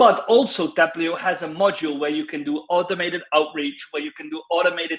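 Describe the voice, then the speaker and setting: Speaking at a fairly quick pace, a man with a Dutch accent has a high pitch. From Netherlands. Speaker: LinkedIn consultant. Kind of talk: panel discussion.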